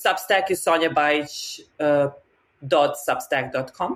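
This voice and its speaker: Very slowly, a woman with a Serbian accent speaks in a very deep, low voice with ordinary pitch variation. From Serbia, Novi Sad. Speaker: map maker and designer. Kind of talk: casual interview.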